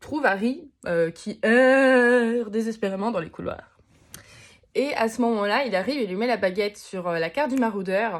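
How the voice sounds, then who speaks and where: A woman with a fairly high pitch and an animated tone speaks at a moderate pace with ordinary pitch variation, on a very clean recording with a silent background. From Moselle, eastern France. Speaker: vlogger and singer. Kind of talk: casual vlog monologue.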